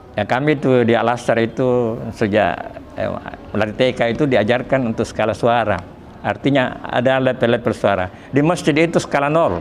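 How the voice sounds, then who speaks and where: Noticeable background noise sits behind the speech. The male speaker's pitch varies in an ordinary way. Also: medium pitch for a man, moderate pace. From Selayar, South Sulawesi, Indonesia. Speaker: Islamic religious teacher. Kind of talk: Quran study lecture.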